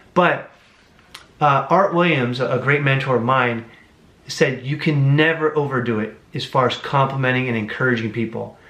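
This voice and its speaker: A fairly high-pitched man at a moderate pace, with audible room echo. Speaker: book reviewer. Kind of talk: book review monologue. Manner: animated.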